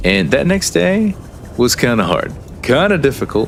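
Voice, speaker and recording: A man speaks at a moderate pace while noticeable background noise is heard. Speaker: gaming streamer. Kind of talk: casual live-stream chat while gaming. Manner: halting, repeats words.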